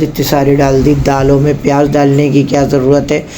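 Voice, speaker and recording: A woman with a very deep, low pitch speaks slowly in a monotone, flat delivery, with audible room echo and noticeable background noise. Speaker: cooking channel host. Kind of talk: casual cooking vlog talk. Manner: chatty, conversational.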